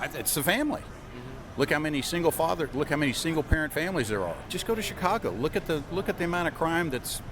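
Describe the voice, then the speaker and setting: Over noticeable background noise, a man with an American accent talks very fast with a fairly high pitch and lively intonation. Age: 60s. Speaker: gun rights supporter interviewee. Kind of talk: street interview.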